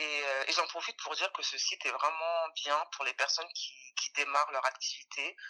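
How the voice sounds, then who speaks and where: Captured in a dry, close sound with no echo, a woman talks at a fairly quick pace. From France, Paris region. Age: 30s. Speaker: fashion designer. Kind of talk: interview. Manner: hesitant, many fillers.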